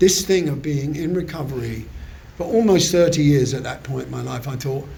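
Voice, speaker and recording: A man with a southern English accent speaks in a fairly high voice. Audible room echo and noticeable background noise are present. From southern England. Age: 70s. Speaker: recovery meeting speaker. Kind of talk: testimony. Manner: halting.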